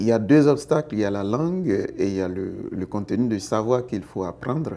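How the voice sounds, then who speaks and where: A man with an Ivorian accent, dark and mellow in tone, at medium pitch and a moderate pace with lively intonation. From Côte d'Ivoire. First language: Baoulé (speaking French). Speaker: interviewee in street poll. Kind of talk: vox pop interview.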